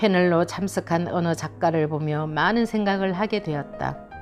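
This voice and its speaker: Music plays in the background while a woman speaks. She goes at a fairly slow pace with ordinary pitch variation. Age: old. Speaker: essayist; rural cafe owner. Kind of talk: essay reading.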